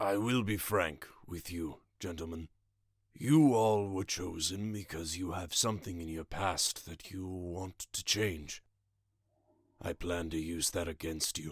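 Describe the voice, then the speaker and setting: A gravelly, very deep and low put-on character voice from a man at a fairly slow pace, in a very clean recording with a silent background. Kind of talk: eloquent, refined.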